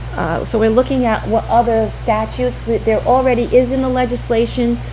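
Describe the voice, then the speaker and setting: Room echo and noticeable background noise are audible. A woman talks at a fairly quick pace. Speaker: state education official presenting funding formula. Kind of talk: presentation at school committee meeting. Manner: fast; halting, many fillers.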